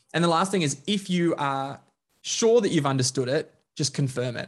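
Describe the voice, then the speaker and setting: Over a quiet background, a somewhat breathy voice moves at a fairly quick pace. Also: man. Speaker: leadership trainer, coach and author. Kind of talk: interview conversation.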